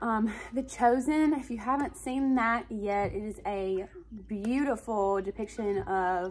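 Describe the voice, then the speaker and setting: Faint music plays behind a woman with a fairly high pitch speaking in an Alabama accent. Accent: Alabama Southern US. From Alabama, US. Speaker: stay-at-home mom and lifestyle vlogger. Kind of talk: casual talk to camera. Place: home room. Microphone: phone near.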